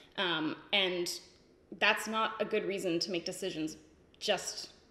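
A woman's bright, sharp voice at a very slow pace, with fairly even intonation and audible room echo. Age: 20s. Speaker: beauty youtuber; beauty vlogger. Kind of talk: casual chat. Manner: casual, filler-heavy. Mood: candid, reflective. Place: home room.

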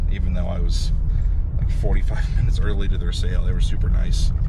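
Loud background noise behind a man talking very fast. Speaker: reseller vlogger. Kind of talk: casual vlog chat. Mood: pleased about a deal. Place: car. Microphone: phone near.

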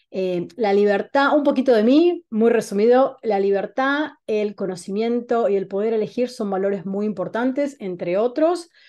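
A woman with an Argentine accent, dark and mellow in tone, at a moderate pace with hardly any pauses, over a quiet background. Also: lively intonation. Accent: Rioplatense Argentine Spanish. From Argentina, Buenos Aires. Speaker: holistic wellness coach. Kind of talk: online talk presentation. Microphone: video call.

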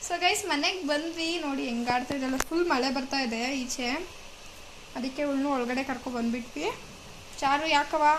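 Against audible room echo, a woman talks at a high pitch with ordinary pitch variation. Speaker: vlogger. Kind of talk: casual vlog narration.

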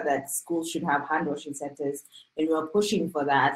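A woman with a low pitch talks with fairly even intonation.

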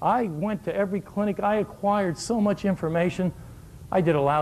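With an animated tone and lively intonation, a man speaks at a moderate pace. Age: 60s. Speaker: shooting coach giving a clinic. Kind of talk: coaching clinic lecture. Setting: live clinic with audience. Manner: animated, humorous. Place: hall. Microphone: lapel.

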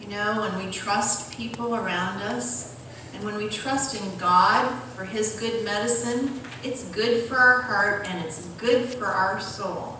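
A woman with a fairly high pitch speaks at a fairly slow pace. Strong room echo and light background noise are present. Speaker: church health presenter. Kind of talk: health talk and prayer. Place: church.

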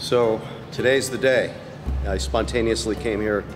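Faint music plays in the background as a man talks at a fairly slow pace. His pitch is fairly low. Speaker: travel vlogger. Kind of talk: casual vlog chat. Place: street. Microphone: phone near.

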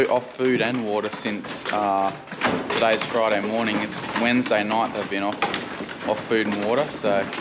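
Amid loud background noise, a man speaks at a moderate pace. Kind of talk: casual vlog chat. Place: farm machine. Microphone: phone near.

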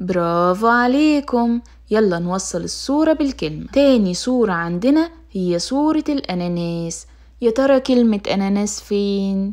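This woman has an unremarkable speaking voice at a medium pitch. She talks at a fairly slow pace with lively intonation. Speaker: children's storyteller. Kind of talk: children's teaching activity.

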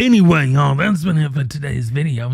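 A man speaks with lively intonation and a somewhat breathy voice, the sound dry with no echo. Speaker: channel host. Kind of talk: opinion commentary vlog. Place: home room. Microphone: studio mic.

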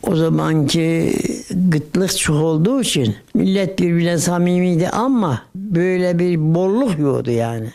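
This man speaks at a very slow pace in a high pitch, with lively intonation and very even loudness. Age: 80s+. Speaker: centenarian recalling early Republic history. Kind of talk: interview answer, oral history recollection.

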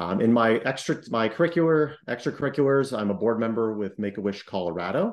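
This voice has an American accent and a slightly mellow tone. It moves at a fairly quick pace with ordinary pitch variation. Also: man.

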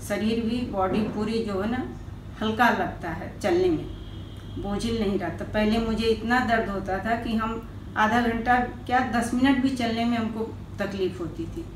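Audible room echo and light background noise sit behind a woman speaking at a very slow pace. Her pitch is fairly high, and her intonation fairly even. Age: 60s. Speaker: patient. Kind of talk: testimony. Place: office. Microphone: camera far.

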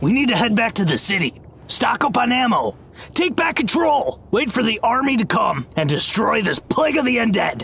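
Over light background noise, a man speaks at an extremely high pitch. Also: moderate pace. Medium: machinima. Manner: insistent, dramatic.

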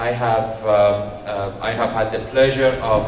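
In a room with audible echo and light background noise, a man speaks with monotone, flat intonation. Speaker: host introducing a guest lecturer. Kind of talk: speaker introduction. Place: hall. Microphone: podium.

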